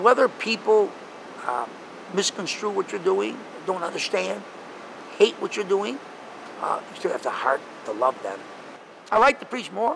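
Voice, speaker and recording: There is noticeable background noise behind this man. He speaks with an American accent at a moderate pace. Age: 70s. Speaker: street preacher and part-time salesman. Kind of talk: casual interview answer.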